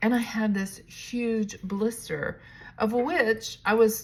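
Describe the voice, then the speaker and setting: A somewhat breathy voice on a very clean recording with a silent background. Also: woman. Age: 60s. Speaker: realtor and vlogger. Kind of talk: casual vlog monologue. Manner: casual, with fillers and restarts.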